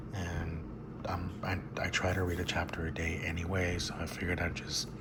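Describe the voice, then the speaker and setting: Soft-spoken delivery at a moderate pace amid noticeable background noise. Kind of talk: casual talk to camera.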